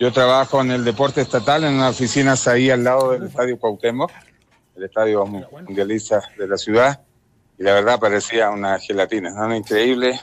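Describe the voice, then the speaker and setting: A normal speaking voice at a moderate pace with ordinary pitch variation. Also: man, medium pitch for a man. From Chile. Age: 50s. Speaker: former footballer. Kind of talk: phone interview.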